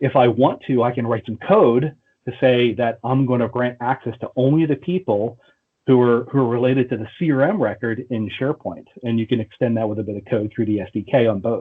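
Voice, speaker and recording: This man's voice sits at a medium pitch. It shows ordinary pitch variation. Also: fairly quick pace. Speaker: software consultant presenter. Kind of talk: technical presentation. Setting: online meeting. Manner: fast.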